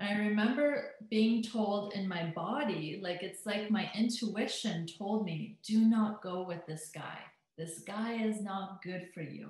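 With a Canadian accent, a woman uses an unremarkable speaking voice at medium pitch, moving at a fairly slow pace with hardly any pauses. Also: ordinary pitch variation. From Alberta, Canada. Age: 30s. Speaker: hypnotherapist and transformational coach. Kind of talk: interview chat, personal testimony.

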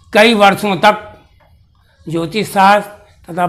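The pace from this man is very slow. His intonation holds fairly even. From Bihar, Bhojpur district; Bihar. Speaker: retired astrology teacher, Sanskrit scholar. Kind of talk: autobiographical account. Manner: slow, halting with many pauses. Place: home room.

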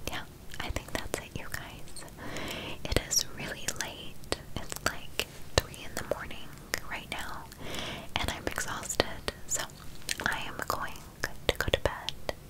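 A woman whispers fairly slowly, leaving long pauses again and again. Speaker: ASMR creator. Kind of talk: soft ASMR talk to viewers. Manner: soft, sleepy ASMR murmur. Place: home room.

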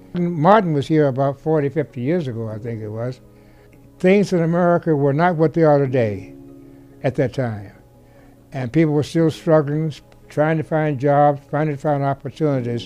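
A man talks at a moderate pace in a fairly high pitch with ordinary pitch variation. Faint music sits in the background. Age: 80s+. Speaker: friend of a civil rights leader; interviewee. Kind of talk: interview reminiscence. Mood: reflective, earnest. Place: home room.

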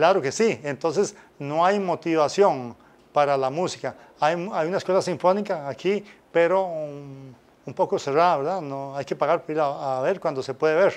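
A man talks at a moderate pace. His fairly high voice has ordinary pitch variation. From Costa Rica, Pérez Zeledón (San Isidro); Costa Rica. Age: 60s. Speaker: former football referee and music teacher; interview guest. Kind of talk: interview. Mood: relaxed, animated. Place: studio. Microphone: lapel.

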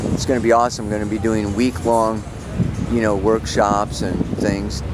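A man's voice with dry, echo-free sound and music in the background. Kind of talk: casual vlog chat. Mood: warm, upbeat. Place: waterside. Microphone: phone near.

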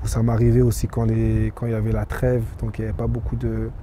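A man at a moderate pace, dry with no echo, over light background noise. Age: 20s. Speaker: professional footballer; interviewee. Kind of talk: interview. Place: stadium. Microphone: handheld.

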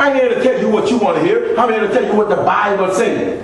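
Amid light background noise and strong room echo, a man talks at a fairly quick pace in an extremely high pitch with ordinary pitch variation. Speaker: preacher. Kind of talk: sermon. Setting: church. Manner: call-and-response preaching, punctuated by repeated 'Praise the Lord' and 'Amen'; exhorting, fervent. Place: church.

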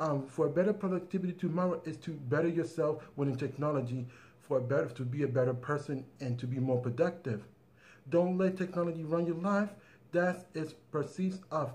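With ordinary pitch variation, this man moves through his words at a fairly quick pace. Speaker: tech channel host. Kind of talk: casual vlog chat. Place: home room. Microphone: phone near.

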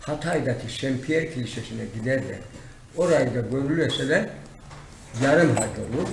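A man at a moderate pace with long, frequent pauses, ordinary pitch variation, light background noise and audible room echo. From Silifke, Mersin, Turkey. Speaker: retired teacher, walked across Turkey. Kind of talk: interview answer. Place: office. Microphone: camera far.

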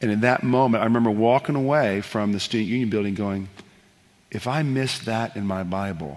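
This man's pitch sits fairly low, with ordinary variation, and he keeps a moderate pace. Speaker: worship leader and author; interview guest. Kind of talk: interview answers on stage. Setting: live broadcast in a church with audience. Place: stage.

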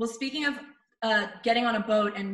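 Very fast, fairly high-pitched female speech with ordinary pitch variation, audible room echo and a quiet background. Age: 30s. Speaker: radio host and video show host; radio host, video show host. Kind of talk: reading quiz questions aloud; casual chat. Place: home room. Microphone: video call.

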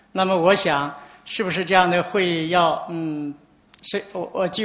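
A high-pitched male voice at a moderate pace with fairly even intonation. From China. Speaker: environmental activist. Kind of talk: conference talk. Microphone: podium.

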